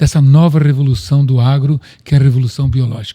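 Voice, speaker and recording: Somewhat breathy, a man talks at a fairly quick pace with fairly high pitch and fairly even intonation. The sound is dry and close, with no echo. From Brazil, Piracicaba (São Paulo state). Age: 70s. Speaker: company president, agronomist. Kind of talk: interview.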